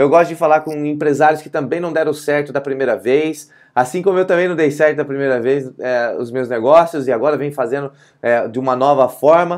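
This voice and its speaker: Over a quiet background, a man talks at a fairly quick pace with a fairly high pitch. He has a plain, everyday voice and fairly even intonation. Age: 40s. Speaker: leadership coach and YouTuber; leadership coach, YouTuber. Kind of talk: motivational vlog monologue. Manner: casual, conversational. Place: office. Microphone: earbuds.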